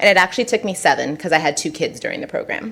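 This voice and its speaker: In a Southern California accent, a woman talks at a medium pitch with an animated tone and lively intonation. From Southern California, San Diego. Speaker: consultant. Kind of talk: presentation. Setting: council meeting.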